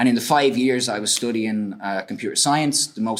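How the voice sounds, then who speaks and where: A man talks in an Irish accent. His pitch is medium and his pace fairly quick. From Ireland. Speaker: researcher. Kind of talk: lecture. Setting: stage with audience.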